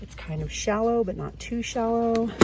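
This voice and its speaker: At a moderate tempo, the speaking carries on against noticeable background noise. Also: woman. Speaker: YouTuber. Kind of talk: shopping vlog narration. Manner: casual, chatty.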